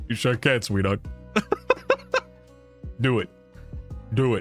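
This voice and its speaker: Putting on a character voice, a man talks at a moderate pace with a medium pitch while music plays clearly in the background. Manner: flirty, playful.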